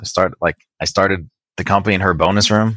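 A man with a Californian accent speaks at a fairly low pitch with fairly even intonation, dry and close with no echo against a quiet background. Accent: General American, Californian. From Wisconsin to age 8, then Southern California. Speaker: IT business owner. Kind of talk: interview conversation. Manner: hesitant, many repeated words and fillers.

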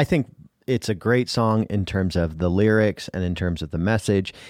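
A man uses a plain, everyday voice with an American accent, fairly low in pitch with ordinary variation. He speaks at a moderate pace on a very clean recording with a silent background. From rural US. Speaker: radio show co-host. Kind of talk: casual chat.

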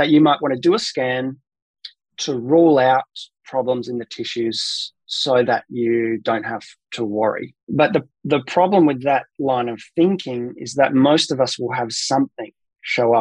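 Here a man with an Australian accent talks at a fairly slow pace and medium pitch, with ordinary pitch variation. The sound is dry and close, with no echo. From South Australia, Adelaide. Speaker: pain researcher and physiotherapist. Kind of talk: interview, expert explanation.

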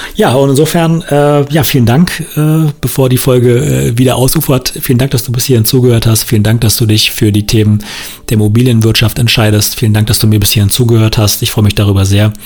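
The man speaks with an unremarkable speaking voice, medium in pitch. His pace is fairly quick, and his pitch varies in an ordinary way. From northern Brandenburg, Germany. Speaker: podcast host, real estate investor. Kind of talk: solo podcast monologue. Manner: casual, many filler sounds.

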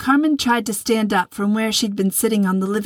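Ordinary pitch variation while reading aloud in a natural voice

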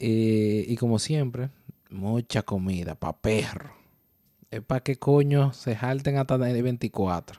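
Dry and close with no echo, a man's dark, mellow voice at medium pitch moves at a very slow pace with ordinary pitch variation. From Dominican Republic. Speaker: podcast co-host. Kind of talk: casual chat. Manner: animated.

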